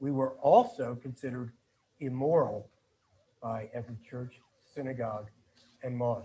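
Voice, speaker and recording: A somewhat breathy man's voice with a dark, mellow tone and an American accent. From US Northeast, Philadelphia. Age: 70s. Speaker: activist and journalist. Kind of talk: panel talk, personal testimony.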